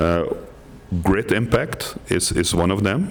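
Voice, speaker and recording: A man speaks with a very deep, low pitch and ordinary pitch variation. Room echo is audible, along with noticeable background noise. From Netherlands. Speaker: workshop participant. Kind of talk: group report-back at workshop. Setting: conference room with microphone. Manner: halting, with repetitions.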